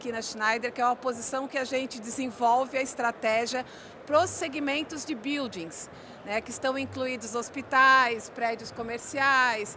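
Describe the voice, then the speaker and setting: Over noticeable background noise, a woman with a high pitch talks at a fairly slow pace with fairly even intonation. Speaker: corporate presenter. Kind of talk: conference presentation. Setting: conference room with audience.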